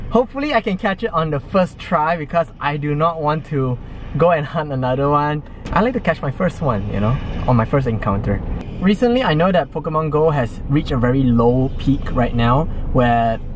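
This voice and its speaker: A man speaks fairly quickly with lively intonation and a somewhat breathy voice. The sound is dry with no echo, with light background noise. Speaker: game vlogger. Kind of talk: casual vlog chat. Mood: cheerful, laughing. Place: car. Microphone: phone near.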